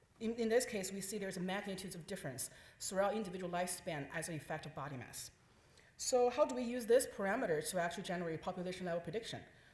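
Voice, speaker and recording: Talking at a very fast pace, a woman of medium pitch uses lively intonation and big swings in loudness, with audible room echo. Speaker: scientist presenting research. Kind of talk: conference talk.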